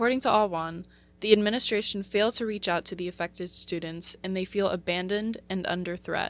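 A woman with a plain, everyday voice speaks fairly quickly at medium pitch. Her intonation stays fairly even while her loudness swings a lot. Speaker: radio news reporter. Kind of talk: news reading. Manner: formal, even-paced newsreader delivery; measured and neutral, reading a script.

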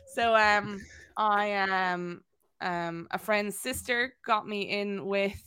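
A woman's bright, sharp voice at medium pitch, very slow and fairly even in intonation, on a very clean recording with a silent background. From Wexford, Ireland. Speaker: videographer and content creator. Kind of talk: casual interview chat.

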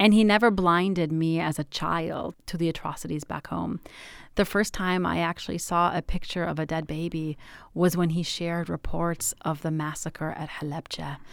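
This woman has a normal speaking voice with an American accent, fairly low pitch and fairly even intonation, speaking at a moderate pace on a very clean recording with a silent background. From Michigan, US. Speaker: pediatrician. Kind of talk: interview.

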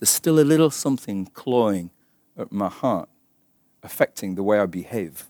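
With an English accent, a man talks at a moderate pace in a fairly low pitch with a dark, mellow tone and lively intonation, leaving long, frequent pauses in a dry, close sound with no echo on a very clean recording with a silent background. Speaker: Bible teacher. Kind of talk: sermon.

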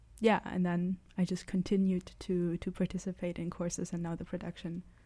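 Her voice is medium in pitch, dark, mellow and somewhat breathy, as this woman speaks at a moderate pace in a monotone, flat intonation. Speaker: student actor. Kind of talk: casual chat. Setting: studio.

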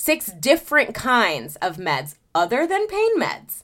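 A woman speaks with vocal fry and a bright, sharp tone, her pitch swinging very widely. The recording is very clean, with a silent background. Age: 30s. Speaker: podcast host. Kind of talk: personal monologue. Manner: casual with frequent sighs and fillers.

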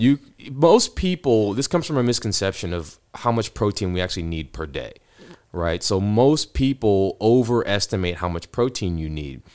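A man with an American accent speaks in an ordinary speaking voice, fairly low in pitch with lively intonation, at a moderate pace in a very clean recording with a silent background. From Ohio, US Midwest. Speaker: doctor. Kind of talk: interview.

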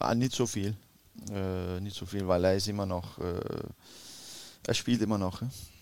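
Fairly slow and marked by long, frequent pauses, a man's fairly low voice holds a fairly even intonation. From Denmark, Copenhagen area. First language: Danish (speaking German). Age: 40s. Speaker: retired footballer, player agent. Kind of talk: interview. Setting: hotel. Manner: halting.

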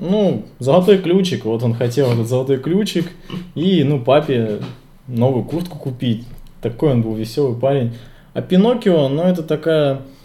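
Somewhat breathy and dark, mellow in tone, a man's fairly high voice carries lively intonation at a moderate pace. He leaves long, frequent pauses, and audible room echo surrounds him. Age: 20s. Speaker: podcast co-host. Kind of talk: casual chat.

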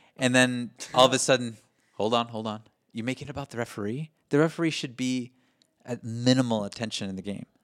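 In a very clean recording with a silent background, a man talks at a fairly quick pace. He has a plain, everyday voice at medium pitch, with fairly even intonation. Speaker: soccer fan podcast co-host. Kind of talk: casual chat. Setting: home recording.

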